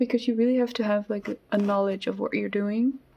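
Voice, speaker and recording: A woman speaks with fairly even intonation. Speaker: artist. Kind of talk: casual chat while drawing. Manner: hesitant, many fillers.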